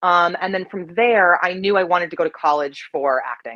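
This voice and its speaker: A woman speaks with a General American accent. Her pace is moderate and her intonation lively. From Colorado. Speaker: actress. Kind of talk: interview. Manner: many filler ums.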